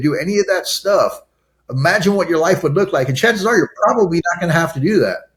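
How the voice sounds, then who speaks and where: The delivery is loud and animated, with lively intonation. The speaker has an American accent. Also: man. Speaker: addiction recovery and re-entry advocate, ex-prisoner. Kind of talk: interview conversation.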